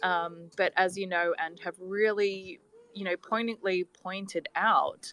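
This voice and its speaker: Speaking fairly slowly with an Australian accent, a woman has a bright, sharp tone and fairly even intonation. The sound is dry and close, with no echo. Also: medium pitch for a woman. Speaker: scientist, caller with long covid. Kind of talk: question from audience in a live discussion.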